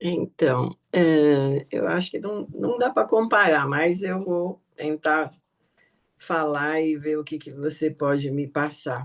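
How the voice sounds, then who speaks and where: A woman speaks with a very deep, low pitch. Her pace is very slow, with ordinary pitch variation. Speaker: study group participant. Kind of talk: group discussion.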